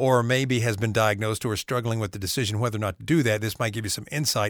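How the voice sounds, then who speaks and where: A man speaks with a North Carolina accent. The sound is dry and close with no echo, in a very clean recording with a silent background. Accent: Southern US (North Carolina). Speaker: podcast host. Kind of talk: casual interview; scripted intro.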